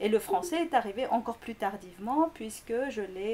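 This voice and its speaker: A woman with a Korean accent speaks fairly fast in a fairly high voice. Her intonation is lively, and there is noticeable background noise. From Greece, Korean family. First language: Korean (speaking French). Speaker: linguistics lecturer. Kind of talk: interview. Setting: school. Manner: halting, many fillers.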